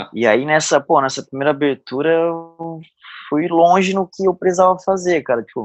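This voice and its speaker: A man's normal speaking voice at a moderate pace, with ordinary pitch variation, dry and close with no echo, against a quiet background. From southern Santa Catarina, Brazil (Araranguá). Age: 30s. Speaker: CrossFit coach and gym owner. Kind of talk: casual interview.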